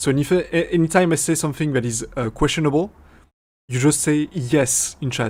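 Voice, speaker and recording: On a very clean recording with a silent background, a man with a strong French accent speaks in a fairly high voice. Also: ordinary pitch variation, moderate pace. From France. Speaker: streamer and AI VTuber developer. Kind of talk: live stream Q&A. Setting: live stream with chat. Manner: halting, many fillers and restarts.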